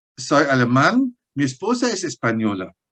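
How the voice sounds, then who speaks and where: Very slow male speech at a medium pitch, with ordinary pitch variation, in a strong German accent. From Germany. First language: German (speaking Spanish). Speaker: paleontologist. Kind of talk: interview. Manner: halting.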